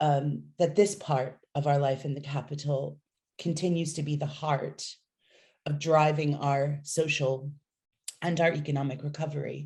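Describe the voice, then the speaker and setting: A woman speaks at a fairly slow pace in a very deep, low voice with an American accent, somewhat breathy, dark and mellow in tone, her intonation monotone and flat. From United States. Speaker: city nightlife official. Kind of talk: interview.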